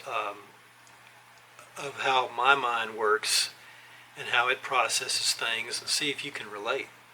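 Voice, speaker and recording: A man talks at a fairly slow pace. Noticeable background noise can be heard behind him. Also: long, frequent pauses. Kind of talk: scripted talk to camera. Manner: halting.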